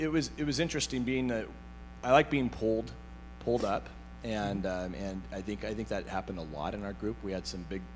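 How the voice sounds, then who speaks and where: A loud man at a moderate pace, with very wide pitch swings, long, frequent pauses and audible room echo. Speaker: IT business owner, peer group member. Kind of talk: panel interview on stage. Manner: halting, many fillers and repeats.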